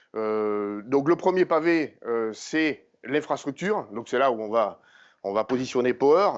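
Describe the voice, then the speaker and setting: A man with a medium-pitched voice speaks very slowly, his intonation lively. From southern France, Montpellier. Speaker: tech company engineer presenter. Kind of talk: conference talk. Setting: conference session with audience. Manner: hesitant, many fillers.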